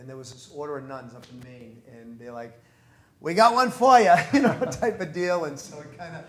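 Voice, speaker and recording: A man with a Boston accent, audible room echo and noticeable background noise. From US New England, North Reading Massachusetts. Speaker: priest. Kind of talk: interview conversation. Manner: casual, many repetitions.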